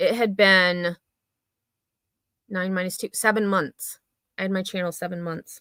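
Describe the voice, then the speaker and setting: Flat, monotone delivery at a fairly slow pace, bright and sharp in tone, with long, frequent pauses and a dry, close sound free of echo. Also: woman, medium pitch for a woman. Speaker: drama commentary YouTuber. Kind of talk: casual livestream chat.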